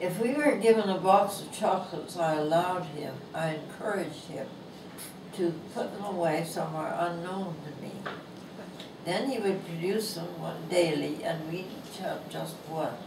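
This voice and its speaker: A woman with a fairly low pitch speaks at a moderate pace, with ordinary pitch variation and big swings in loudness, over noticeable background noise and audible room echo. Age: 80s+. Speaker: author. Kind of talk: reading aloud. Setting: book signing event.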